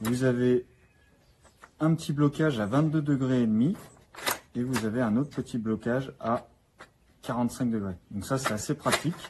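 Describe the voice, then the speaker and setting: With long, frequent pauses, a man speaks at a medium pitch and a moderate pace, using ordinary pitch variation. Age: 20s. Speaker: carpenter reviewing a power tool. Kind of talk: product demonstration. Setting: workshop. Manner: casual with fillers.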